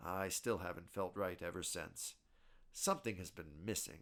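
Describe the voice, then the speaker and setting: Using a put-on character voice, a man speaks raspily at a fairly low pitch and a moderate pace. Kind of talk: horror narration. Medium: read story.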